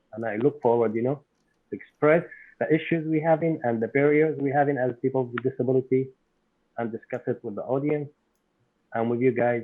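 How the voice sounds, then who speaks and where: Using fairly even intonation, a man moves at a fairly quick pace but leaves long, frequent pauses. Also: medium pitch for a man. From abroad, immigrant to the US. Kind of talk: casual podcast self-introduction. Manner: polite, somewhat formal.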